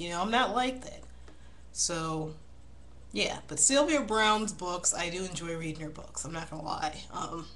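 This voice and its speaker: Her fairly low voice carries vocal fry and lively intonation at a moderate pace, with big swings in loudness. The woman is heard with audible room echo. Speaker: video blogger. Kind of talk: casual vlog monologue. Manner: mumbling; halting.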